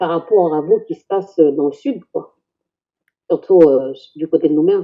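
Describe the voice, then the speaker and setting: A plain, everyday voice from a woman, fairly low in pitch, fairly slow, with ordinary pitch variation and big swings in loudness. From New Caledonia, Kanak, Canala. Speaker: Kanak community member. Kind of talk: casual discussion.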